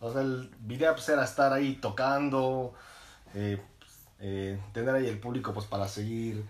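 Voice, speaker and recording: Somewhat breathy, a man speaks with audible room echo around him. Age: 20s. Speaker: podcast co-host. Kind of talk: casual chat.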